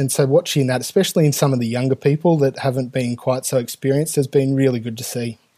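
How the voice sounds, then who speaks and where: This voice has a dark, mellow tone and an Australian accent, with fairly even intonation. The sound is dry and close, without any echo. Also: man. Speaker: air traffic controller and union president. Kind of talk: podcast interview. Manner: hesitant, many fillers.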